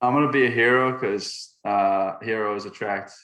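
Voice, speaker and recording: Speaking in a Boston accent, a man has a bright, sharp tone and fairly even intonation. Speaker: college baseball player. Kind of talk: casual chat.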